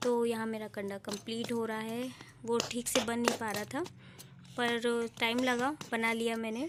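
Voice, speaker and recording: The intonation stays monotone and flat. This woman talks at a fairly slow pace. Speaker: village vlogger and mother. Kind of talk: vlog voiceover narration. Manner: casual, with hesitations.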